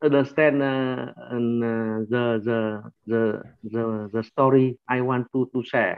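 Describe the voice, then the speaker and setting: In a Vietnamese accent, a man talks at a very slow pace with monotone, flat intonation. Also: medium pitch for a man. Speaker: workshop participant. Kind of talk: sharing in group discussion. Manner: halting, many hesitations.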